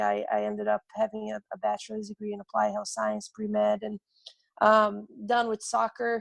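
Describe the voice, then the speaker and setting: With a Portuguese accent, a woman talks at a moderate pace. The sound is dry and close with no echo. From Brazil. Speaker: soccer coach. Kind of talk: interview testimony. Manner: halting, many fillers and repetitions.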